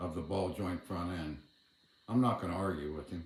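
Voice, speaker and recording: Very deep, low man's voice, somewhat breathy, with audible room echo. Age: 60s. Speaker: DIY mechanic. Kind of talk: casual tutorial. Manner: casual, halting.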